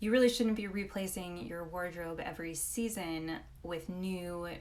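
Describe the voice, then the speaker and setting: A woman's fairly low voice with audible room echo. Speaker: personal stylist and image consultant. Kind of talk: live Q&A. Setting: live stream.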